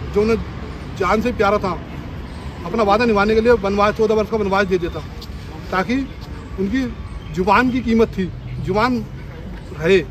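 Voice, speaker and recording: Fairly even intonation with long, frequent pauses over crowd noise in the background. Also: man, high pitch for a man. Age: 40s. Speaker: protester, former bus marshal. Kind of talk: protest statement to camera.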